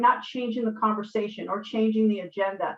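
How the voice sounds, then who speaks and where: At a moderate pace, a woman with an American accent talks in a plain, everyday voice at a fairly high pitch. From US Northeast. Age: 50s. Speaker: panelist, community leader. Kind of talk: panel discussion.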